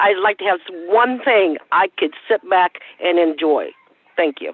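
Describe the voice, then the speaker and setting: Speaking at a fairly slow pace, a woman with an American accent uses an unremarkable speaking voice at medium pitch with ordinary pitch variation. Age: 60s. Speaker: advisory board member. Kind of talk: public meeting discussion.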